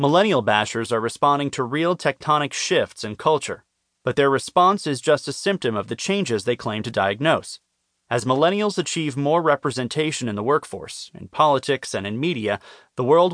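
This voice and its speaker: Over a quiet background, a man with a plain, everyday voice speaks at a moderate pace with fairly high pitch and lively intonation, the sound dry and close with no echo. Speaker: audiobook narrator. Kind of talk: audiobook narration. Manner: formal, measured, even-paced.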